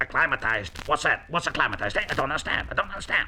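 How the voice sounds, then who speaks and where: A man speaks very fast in a put-on character voice, fairly high in pitch, with clear background noise. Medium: read story. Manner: excitable, repetitive.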